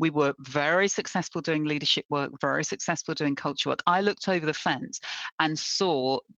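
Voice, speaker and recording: A woman with a very deep, low pitch talks at a moderate pace in a dry, close sound with no echo and a quiet background. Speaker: diversity and inclusion expert. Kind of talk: interview, professional conversation. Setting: video call, remote. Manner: enthusiastic, animated.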